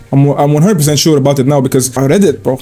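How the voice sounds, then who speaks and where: Over noticeable background noise, a man with a non-native accent speaks in an animated tone at a fairly high pitch, with ordinary pitch variation. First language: not English. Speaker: online commentator. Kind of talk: reaction commentary. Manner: casual, animated.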